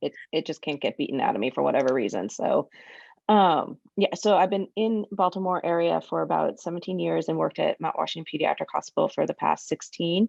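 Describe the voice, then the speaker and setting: Against a quiet background, a woman with an American accent talks at a fairly quick pace, the sound dry and close with no echo. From California. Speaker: pediatric psychologist. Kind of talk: panel discussion. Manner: fast.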